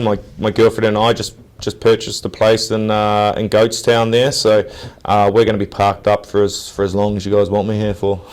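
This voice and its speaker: A man's fairly low voice with a New Zealand accent, at a fairly quick pace. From New Zealand, Nelson. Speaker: professional rugby player. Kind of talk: interview. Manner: casual, halting with many fillers.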